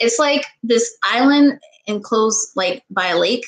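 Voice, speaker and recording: A woman speaks with an American accent and fairly even intonation. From US East Coast, Maryland. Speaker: YouTuber, vlogger. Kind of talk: casual live-stream Q&A. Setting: live stream on webcam. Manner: fast.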